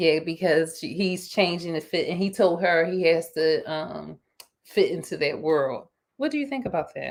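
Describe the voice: A woman talks at a moderate pace. Her voice sits low, with ordinary pitch variation.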